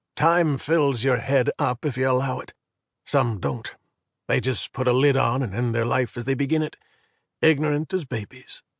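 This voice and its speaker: In a put-on character voice, a man speaks raspy and medium-pitched at a moderate pace, with dry, close sound and no echo. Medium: read story. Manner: folksy, talkative.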